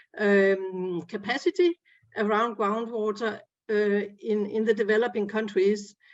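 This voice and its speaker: Very slowly and with fairly even intonation, a woman speaks in a Danish accent. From Denmark. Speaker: groundwater expert. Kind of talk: panel discussion. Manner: halting, many fillers.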